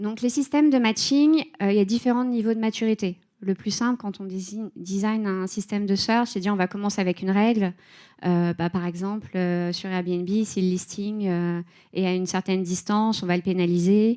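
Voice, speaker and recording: Her tone is dark and mellow, and this woman speaks at a medium pitch with ordinary pitch variation at a moderate pace. The recording is very clean, with a silent background. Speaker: head of data and AI at a tech company. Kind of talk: conference talk. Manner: hesitant, many filler sounds.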